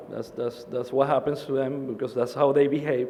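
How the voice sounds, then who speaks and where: There is audible room echo around a man whose intonation is fairly even. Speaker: conference presenter on commodity risk management. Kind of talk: conference presentation.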